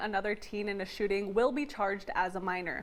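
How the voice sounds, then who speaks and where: There is noticeable background noise in this clip. Through it, a woman is speaking. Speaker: bilingual TV reporter and anchor. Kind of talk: English TV news reporter stand-up and package narration.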